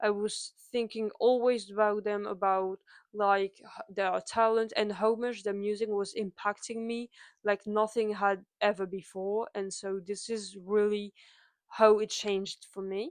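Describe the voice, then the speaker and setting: A woman with a slight non-native accent speaks at a fairly slow pace with monotone, flat intonation. The sound is dry and close, with no echo. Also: medium pitch for a woman. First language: not English. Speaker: music fan YouTuber. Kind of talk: casual story-time talk to camera. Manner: hesitant, with pauses.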